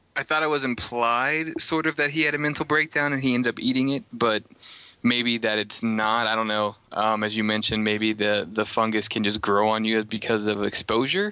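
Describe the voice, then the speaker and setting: At a fairly quick pace, a man with a plain, everyday voice talks with ordinary pitch variation and very even loudness. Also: medium pitch for a man. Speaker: podcast host.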